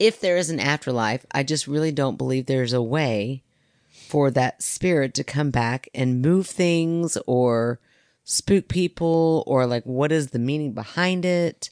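A woman speaks fairly slowly in a very deep, low pitch with ordinary pitch variation. The background is quiet and the sound is dry and close, with no echo. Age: 40s. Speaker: podcast co-host. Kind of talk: casual chat.

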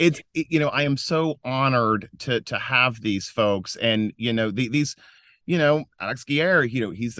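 With an American accent and an unremarkable speaking voice, a man talks at a moderate pace with ordinary pitch variation, the sound dry and close with no echo and the background quiet. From US South, western North Carolina mountains. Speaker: nonprofit founder and philanthropy advisor. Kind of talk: interview. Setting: recording from inside a closet at home.

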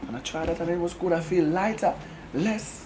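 A man with a high-pitched voice speaks at a fairly quick pace. Room echo is audible. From Kingston, Jamaica. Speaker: reggae singer. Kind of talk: interview. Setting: record label office.

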